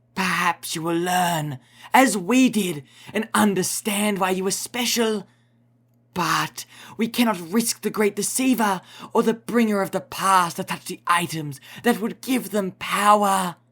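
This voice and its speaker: A raised, projected put-on character voice sits at middle pitch. It is raspy and moves at a fairly slow pace. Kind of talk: religious sermon. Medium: read story. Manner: preachy, archaic and solemn.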